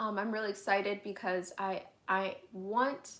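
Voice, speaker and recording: Her pitch sits in the medium range. A woman speaks in monotone, flat intonation. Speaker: youtuber. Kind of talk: live stream Q&A chat. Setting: home, bedroom livestream. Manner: casual, filler-heavy.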